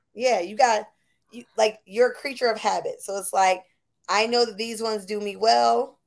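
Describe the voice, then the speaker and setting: On a very clean recording with a silent background, a woman with an American accent uses a plain, everyday voice at a fairly high pitch and a moderate pace, with fairly even intonation and big swings in loudness. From Buffalo, New York. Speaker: podcast host. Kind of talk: casual chat.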